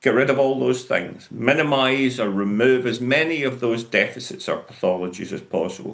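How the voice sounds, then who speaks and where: A man speaks at a moderate pace with a Glaswegian accent, his voice at a medium pitch with ordinary pitch variation. He leaves hardly any pauses. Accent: Glaswegian Scottish. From Scotland, Glasgow. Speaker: professor. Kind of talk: conference lecture.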